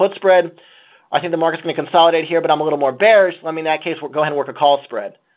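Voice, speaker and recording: A man speaks at a very fast pace in a fairly high pitch. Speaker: options trader. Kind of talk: webinar presentation. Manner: repetitive filler-heavy.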